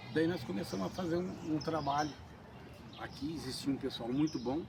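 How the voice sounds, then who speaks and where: Audible room echo surrounds a man speaking at a moderate pace, his pitch fairly high with ordinary variation. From Brazil, São Paulo state (São Bento do Sapucaí). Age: 60s. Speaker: party activist. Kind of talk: documentary interview.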